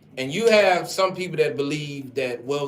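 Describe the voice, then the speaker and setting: Talking at a fairly quick pace, a man is heard through audible room echo with noticeable background noise. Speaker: radio talk show host. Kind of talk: radio talk show discussion. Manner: loud.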